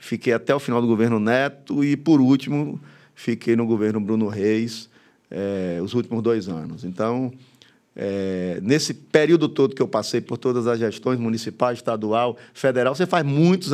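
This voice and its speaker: Against a quiet background, a man with a medium pitch talks at a moderate pace and uses lively intonation. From Bahia, Brazil (interior, moved to Salvador at 14). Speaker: football club president; guest. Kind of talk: casual interview. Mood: relaxed, animated. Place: studio. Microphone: studio mic.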